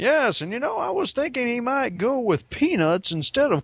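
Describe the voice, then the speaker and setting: A man speaks with very wide pitch swings. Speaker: podcast host. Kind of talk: casual chat.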